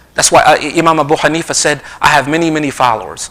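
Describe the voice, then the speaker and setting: Against noticeable background noise, a man with a New Jersey accent talks in an animated tone at a fairly high pitch. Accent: New Jersey American. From US Northeast, South Jersey. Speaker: Islamic lecturer. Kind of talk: religious lecture. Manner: fast.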